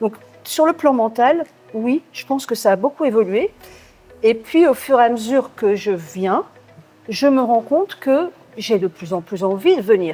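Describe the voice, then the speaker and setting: A woman speaks with very wide pitch swings and long, frequent pauses. Music plays in the background. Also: fairly high pitch for a woman, fairly slow pace. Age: 60s. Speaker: gym member. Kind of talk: interview. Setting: gym.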